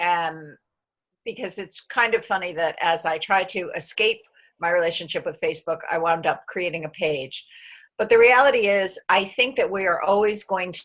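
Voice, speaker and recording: A woman at medium pitch keeps a moderate pace, with ordinary pitch variation and an ordinary speaking voice. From United States. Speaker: community member. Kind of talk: video call group chat.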